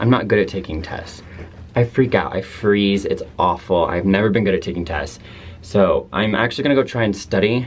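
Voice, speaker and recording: Over background music, a man talks at a fairly low pitch with ordinary pitch variation. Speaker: college student vlogger. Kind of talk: casual vlog chat. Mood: anxious but joking. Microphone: phone near.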